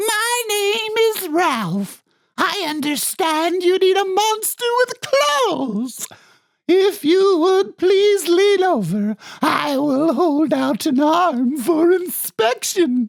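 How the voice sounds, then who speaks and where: A put-on character voice, squeaky and extremely high-pitched, delivered at a very slow pace. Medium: read story. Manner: prim, formal.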